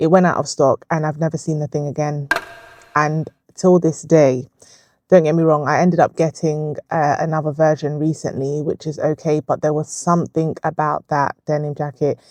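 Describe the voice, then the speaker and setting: In a dry, close recording with no echo, a woman with a very deep, low pitch speaks at a moderate pace in a monotone, flat intonation. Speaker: vlogger and therapist. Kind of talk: casual chat.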